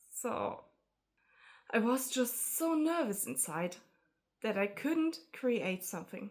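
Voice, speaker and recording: A very slow voice with a non-native accent, long, frequent pauses, and very wide pitch swings, on a very clean recording with a silent background. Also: woman, fairly high pitch for a woman. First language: not English. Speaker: artist vlogger. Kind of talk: casual vlog talk to camera. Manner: halting, hesitant.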